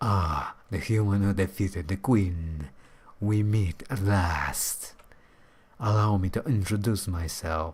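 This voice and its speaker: A man speaks in a put-on character voice, fairly low in pitch. His pace is fairly slow. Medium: game stream. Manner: formal, courtly.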